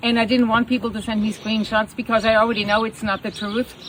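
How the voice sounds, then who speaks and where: This woman's voice sits fairly high and sounds animated. Noticeable background noise runs behind her. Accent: German. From Germany. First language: German. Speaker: horse rescue owner. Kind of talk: personal video statement.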